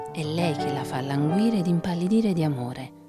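Over music in the background, a woman with a very deep, low voice speaks with lively intonation. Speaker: narrator. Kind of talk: literary legend reading.

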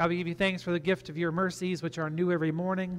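A man talks over faint music in the background. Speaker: pastor. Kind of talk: spoken prayer. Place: church.

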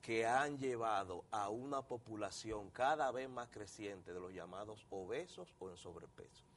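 A man's medium-pitched voice, ordinary pitch variation, and big swings in loudness. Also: fairly slow pace. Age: 50s. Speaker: doctor, endocrinologist; guest. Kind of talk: TV interview. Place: studio. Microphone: lapel.

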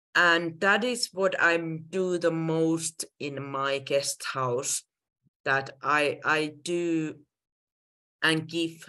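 Speaking at a very slow pace with a Finnish accent, a woman has a very deep, low pitch, a bright, sharp tone, and ordinary pitch variation against a quiet background. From Finland. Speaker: guest house owner; guest. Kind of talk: presentation. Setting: video call. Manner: halting. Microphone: video call.

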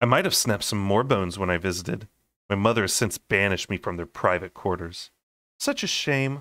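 A quiet background behind plain reading aloud

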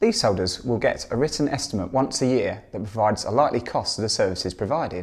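A man talks at a very fast pace with lively intonation. The background is quiet. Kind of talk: interview answer. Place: home room. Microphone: lapel.

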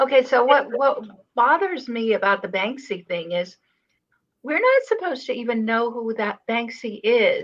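Against a quiet background, a woman with a high pitch speaks at a moderate pace with lively intonation. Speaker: artist and channel host; channel host. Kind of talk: casual chat. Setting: live stream video call. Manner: soft-spoken. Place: home room. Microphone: webcam.

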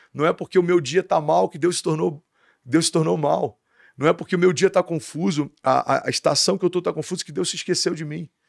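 Against a quiet background, a man with a fairly high pitch and vocal fry talks at a fairly quick pace with ordinary pitch variation. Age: 30s. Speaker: pastor. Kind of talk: casual interview chat. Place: studio. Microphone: studio mic.

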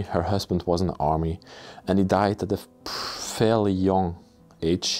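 Faint music plays in the background beneath a voice with fairly even intonation. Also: man. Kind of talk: casual vlog chat. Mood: calm, slightly somber. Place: empty room. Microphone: phone near.

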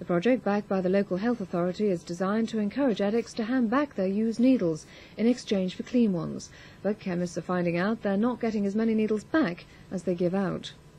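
A woman talks at a very fast pace. Her pitch is medium, with ordinary variation. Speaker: news presenter. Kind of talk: 1980s TV news bulletin, read from script. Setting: television broadcast. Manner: formal, measured, crisp newsreader delivery.

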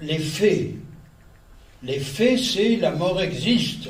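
With audible room echo, a man speaks at a very slow pace. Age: 80s+. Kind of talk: religious lecture to an audience. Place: hall. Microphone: podium.

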